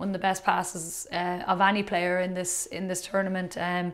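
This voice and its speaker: The woman talks at a moderate speed. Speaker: podcast co-host. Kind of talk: interview answer. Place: studio.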